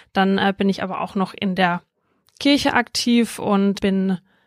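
A woman speaks at a fairly slow pace and medium pitch with fairly even intonation, recorded very cleanly against a silent background with a dry, close sound and no echo. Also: long, frequent pauses. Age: 20s. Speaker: local councillor and student. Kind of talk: interview. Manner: hesitant with fillers.

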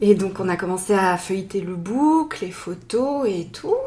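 A woman with a medium-pitched voice speaks at a fairly slow pace with lively intonation over noticeable background noise. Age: 40s. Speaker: nurse, bride. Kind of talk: casual interview. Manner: hesitant, halting.

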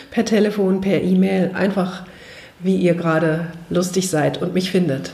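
Over noticeable background noise and audible room echo, a woman talks at medium pitch with ordinary pitch variation. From Frankfurt, Germany. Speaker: podcast host and personal development trainer. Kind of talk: casual interview.

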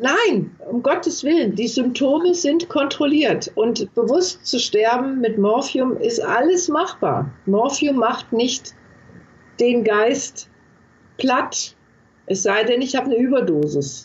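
A woman speaks at a very slow pace in a high voice. Her pitch swings very widely. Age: 60s. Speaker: palliative care nurse and author. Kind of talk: interview.

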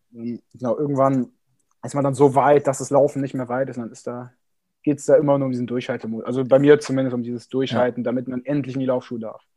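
Delivered at a very fast pace, the voice has a dark, mellow tone, monotone, flat intonation and big swings in loudness. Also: man, medium pitch for a man. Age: 20s. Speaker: amateur triathlete and sports student. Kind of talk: casual interview.

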